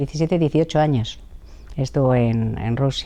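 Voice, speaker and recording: Intonation stays fairly level throughout. The tone is dark and mellow. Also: woman. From Madrid, Spain. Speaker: interviewee on family history. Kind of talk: interview testimony. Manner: hesitant, with fillers.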